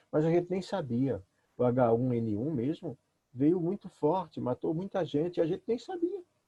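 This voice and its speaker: A man with an unremarkable speaking voice, lively intonation and a fairly slow pace. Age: 60s. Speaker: pastor. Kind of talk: talk. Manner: conversational, many fillers.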